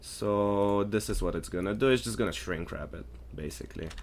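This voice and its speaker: A non-native accent at a moderate pace. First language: not English. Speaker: 3D artist and tool developer. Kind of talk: tutorial. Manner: casual, halting with fillers.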